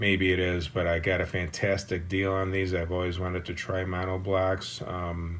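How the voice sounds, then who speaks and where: A man's very deep, low voice, with monotone, flat intonation and hardly any pauses. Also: moderate pace. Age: 60s. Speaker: audiophile subscriber giving system tour. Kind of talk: casual home system tour. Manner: hesitant, with many fillers.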